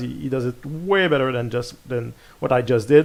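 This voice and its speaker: Speaking in a French accent, the man keeps a fairly slow pace. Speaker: gaming video creator. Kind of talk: gameplay commentary. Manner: halting, many repeated words and fillers.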